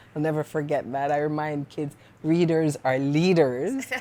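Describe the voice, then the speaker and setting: A woman's very deep, low voice with a Jamaican Canadian accent, fairly even intonation and a moderate pace. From Jamaica, Parish of St Mary; moved to Canada at 15. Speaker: poet and author. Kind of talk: interview conversation.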